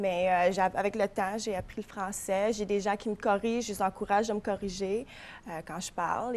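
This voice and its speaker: A woman speaks with an English accent at a moderate pace. Her pitch is medium. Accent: English-speaker accent in French. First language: English (speaking French). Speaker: florist and shop owner. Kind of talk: TV interview.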